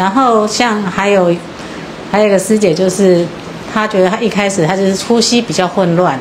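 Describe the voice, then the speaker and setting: There is noticeable background noise as a woman speaks with fairly even intonation. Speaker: student group reporter. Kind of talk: group sharing. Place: hall. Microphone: handheld.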